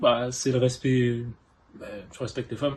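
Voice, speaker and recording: A somewhat breathy man's voice at medium pitch, fairly slow, with monotone, flat intonation. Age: 18. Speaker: interviewee, narrator's boyfriend. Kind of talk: interview answers. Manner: hesitant, many fillers.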